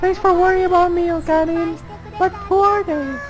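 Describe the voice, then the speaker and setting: An extremely high, squeaky put-on character voice moves at a moderate pace over clear background music. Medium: solo performance. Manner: bubbly, sweet.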